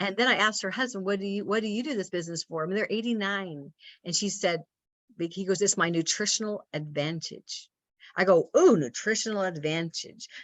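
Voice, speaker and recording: With an energetic tone, a woman speaks at a fairly quick pace in a medium pitch with ordinary pitch variation. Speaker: naturopathic doctor, business leader. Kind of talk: motivational talk on video call. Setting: video call. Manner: fast.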